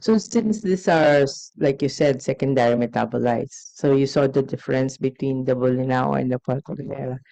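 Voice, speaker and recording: A woman with a Filipino accent, a very deep, low pitch, lively intonation and a fairly quick pace with hardly any pauses. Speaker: scientist in audience. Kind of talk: audience question.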